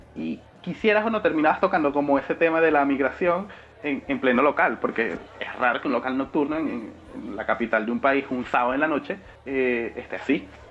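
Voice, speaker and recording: A man's fairly high voice with lively intonation at a fairly quick pace, over noticeable background noise. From Venezuela. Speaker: podcast co-host. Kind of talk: casual chat.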